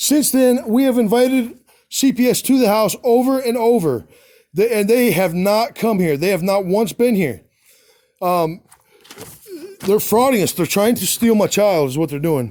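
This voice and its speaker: A loud man's voice, high in pitch with a dark, mellow tone and lively intonation, at a moderate pace with long, frequent pauses. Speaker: father vlogging about custody dispute. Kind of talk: casual video monologue reading paperwork. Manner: halting, many fillers and restarts.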